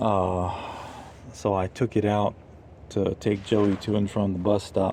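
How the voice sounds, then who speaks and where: Speaking at a fairly slow pace, a man with a fairly low pitch and a dark, mellow tone keeps his loudness very even and his intonation monotone and flat. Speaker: vlogger and parent. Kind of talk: casual vlog tutorial. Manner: halting with stutters and fillers.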